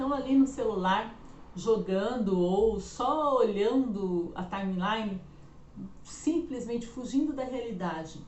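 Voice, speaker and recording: Noticeable background noise surrounds a woman whose fairly high voice carries lively intonation. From Araraquara, Brazil. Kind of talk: explanatory, conversational.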